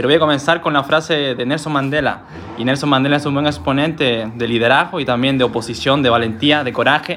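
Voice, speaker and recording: A man rushes through his words at a very fast pace, his intonation fairly even, with noticeable background noise behind him. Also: fairly high pitch for a man. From Peru. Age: 20s. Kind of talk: casual podcast talk.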